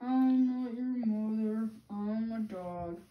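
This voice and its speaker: Using a put-on character voice, a woman speaks at a very slow pace and a fairly high pitch. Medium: read story. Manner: blunt.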